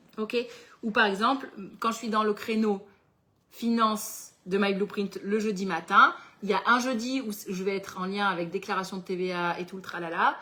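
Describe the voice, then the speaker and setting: Her loudness swings widely as this woman, with a plain, everyday voice at medium pitch, speaks at a moderate pace with fairly even intonation. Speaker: entrepreneur running a planner business and workshop host. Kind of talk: live webinar workshop with Q&A. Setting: livestream with chat.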